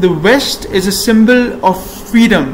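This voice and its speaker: There is noticeable background noise behind this man. His pitch moves in an ordinary way. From Pakistan. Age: 20s. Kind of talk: casual talk to camera.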